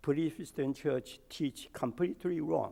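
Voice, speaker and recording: Showing vocal fry, a man speaks in a dark, mellow tone at a fairly slow pace. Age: 80s. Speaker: church elder. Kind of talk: sermon.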